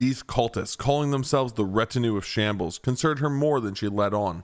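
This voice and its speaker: Music plays in the background as a man speaks at a very fast pace. His pitch is medium, with ordinary variation. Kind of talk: audiobook-style story reading.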